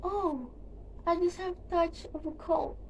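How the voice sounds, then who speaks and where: A woman puts on a croaky, cackling character voice at a fairly slow pace. Background noise is clearly audible. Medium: read story. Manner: sly, falsely sweet.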